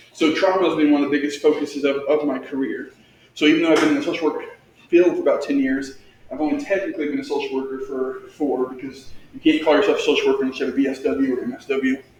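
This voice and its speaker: Amid audible room echo, a man talks at a very fast pace with an American accent. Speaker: licensed clinical social worker and therapist. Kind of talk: presentation to school staff.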